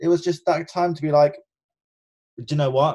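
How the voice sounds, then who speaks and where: A man speaks with a London accent. His voice is somewhat breathy. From North London, England. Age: 30s. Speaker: cruise ship entertainment director and former dancer. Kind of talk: interview. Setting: remote call.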